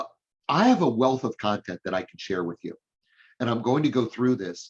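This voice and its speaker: The sound is dry and close with no echo as a man speaks fairly quickly at a medium pitch in a normal speaking voice. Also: lively intonation. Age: 60s. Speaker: hiring consultant and speaker. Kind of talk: business presentation. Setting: live-streamed chamber meeting.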